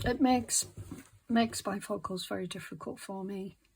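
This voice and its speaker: Relaxed in tone, a woman speaks fairly slowly at medium pitch with a somewhat breathy voice, on a very clean recording with a silent background. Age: 60s. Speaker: craft video creator. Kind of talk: casual craft tutorial narration. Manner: halting, many fillers; relaxed, slow.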